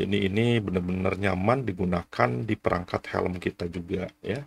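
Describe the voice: Low-pitched and slightly husky, a man talks at a moderate pace with vocal fry. His intonation stays fairly even.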